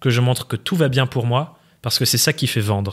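With a quiet background, a man's voice comes through at a moderate pace. His pitch varies in an ordinary way. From France, Dordogne. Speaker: online entrepreneur and trainer; trainer. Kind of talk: interview conversation. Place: studio. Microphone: studio mic.

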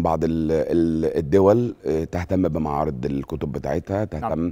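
Over a quiet background, a man with a dark, mellow tone talks at a moderate pace with ordinary pitch variation. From Egypt. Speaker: book fair director; guest. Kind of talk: interview. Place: studio. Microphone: lapel.

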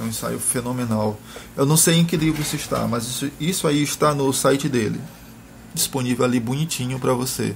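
Speaking at a fairly quick pace, a man with a medium pitch sounds somewhat breathy and shows ordinary pitch variation. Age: 30s. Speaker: blogger discussing philosophy. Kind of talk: casual chat.

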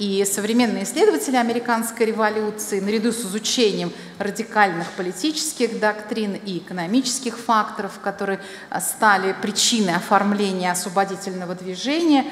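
A woman talks fairly quickly amid audible room echo and light background noise. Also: ordinary pitch variation. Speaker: presenter. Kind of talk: lecture. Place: hall. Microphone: podium.

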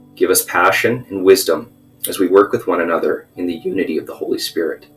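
With faint music in the background, a man speaks at a fairly quick pace. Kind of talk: prayer. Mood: solemn, reverent. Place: home room. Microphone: webcam.

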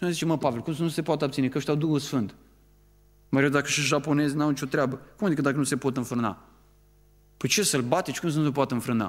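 Speaking at a very fast pace, a man keeps a fairly high pitch with ordinary pitch variation. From Romania. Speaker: preacher. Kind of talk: sermon. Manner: animated. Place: church. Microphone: podium.

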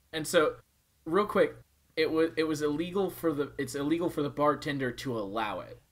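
This is an unremarkable speaking voice at a fairly quick pace with ordinary pitch variation. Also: man, fairly high pitch for a man. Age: 20s. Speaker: podcast co-host. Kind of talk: casual chat.

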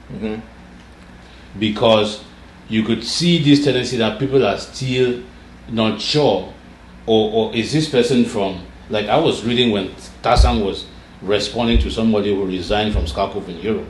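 A man talks at a moderate pace, leaving long, frequent pauses. The room echo is audible, and there is light background noise. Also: ordinary pitch variation. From Cameroon (anglophone Southern Cameroons). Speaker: political activist leader; interview guest. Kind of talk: interview conversation. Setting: studio interview. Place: office.

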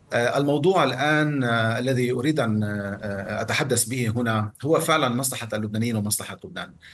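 Using an unremarkable speaking voice, a man talks at a moderate pace and medium pitch with ordinary pitch variation. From Lebanon. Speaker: political analyst. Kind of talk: interview. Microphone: video call.

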